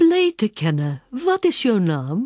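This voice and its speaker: Putting on a character voice, a soft-spoken woman talks in a fairly high pitch with very wide pitch swings. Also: fairly slow pace. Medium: read story. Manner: polite, soft.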